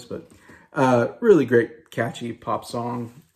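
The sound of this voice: A man puts on a hoarse, raspy character voice at a medium pitch. He speaks at a fairly slow pace.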